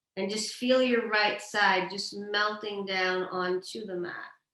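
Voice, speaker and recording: Calm in tone, a woman talks at a fairly slow pace with fairly even intonation and medium pitch. Audible room echo surrounds her voice. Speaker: yoga instructor. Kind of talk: guided yoga class.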